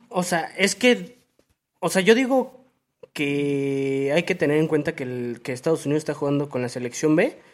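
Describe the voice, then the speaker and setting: With a Mexican accent, a man talks at a moderate pace in a fairly high pitch, his intonation lively. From Mexico. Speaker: football podcast co-host. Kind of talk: casual chat.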